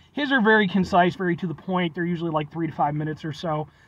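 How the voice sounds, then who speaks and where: At a very fast pace, a man talks with a high pitch in a dry sound with no echo. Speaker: food reviewer. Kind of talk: casual vlog chat. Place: car. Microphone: phone near.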